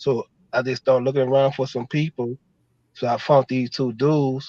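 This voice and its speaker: A man's medium-pitched voice, monotone and flat, with a dark, mellow tone and a dry, close sound free of echo. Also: moderate pace. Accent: New Orleans. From New Orleans, Fifth Ward. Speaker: screenwriter. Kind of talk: casual chat.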